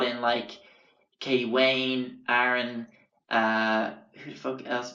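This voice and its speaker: In a bright, sharp tone with an Irish accent, a man speaks at medium pitch with monotone, flat intonation and audible room echo. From Ireland. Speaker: podcast host, artist. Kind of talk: casual storytelling monologue. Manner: rambling, hesitant with fillers.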